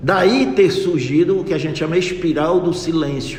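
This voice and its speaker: Amid noticeable background noise and audible room echo, a man speaks at a high pitch with ordinary pitch variation. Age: 60s. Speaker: local party official and physician. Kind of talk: radio interview.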